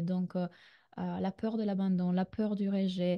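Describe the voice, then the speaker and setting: A woman's dark, mellow voice at a medium pitch, with a slight Italian accent, fairly slow pace, monotone, flat intonation and a dry, close sound with no echo. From Italy. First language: Italian (speaking French). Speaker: relationship coach. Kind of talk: online masterclass. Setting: video call. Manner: hesitant, many fillers.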